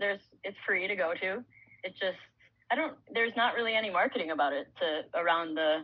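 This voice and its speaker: Lively intonation and a fairly quick pace mark an unremarkable speaking voice. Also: woman, medium pitch for a woman. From Illinois, US. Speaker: professional hockey player. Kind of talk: casual interview chat.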